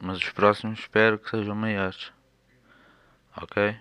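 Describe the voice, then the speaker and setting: A man in a Lisbon accent, fairly low pitch, bright, sharp tone, monotone, flat intonation and a fairly slow pace. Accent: European Portuguese (Lisbon). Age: 20s. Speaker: podcaster sharing life with schizophrenia. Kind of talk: personal monologue. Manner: hesitant.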